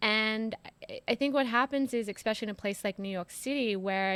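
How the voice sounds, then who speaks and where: Speaking in an American accent at a fairly quick pace, a woman uses a medium pitch and fairly even intonation on a very clean recording with a silent background. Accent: Australian with some American twang. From Australia, Sydney. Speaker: former PR professional, podcast guest. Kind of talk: casual interview. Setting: in person, in a home.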